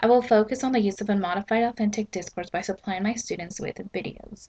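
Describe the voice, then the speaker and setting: At medium pitch and a fairly quick pace, a woman's voice comes across somewhat breathy. Her intonation stays fairly even. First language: Spanish. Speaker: student teacher. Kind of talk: prepared statement read aloud. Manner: scripted, formal.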